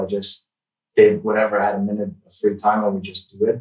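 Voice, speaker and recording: The man talks at a moderate pace. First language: not English. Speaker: tech YouTuber. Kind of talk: casual interview chat. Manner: halting, searching for words.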